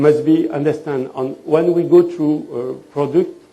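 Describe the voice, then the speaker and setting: Fairly high male pitch with a French accent, fairly slow pace and fairly even intonation, plus audible room echo and noticeable background noise. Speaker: fashion designer and trend consultant. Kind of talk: lecture. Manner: halting.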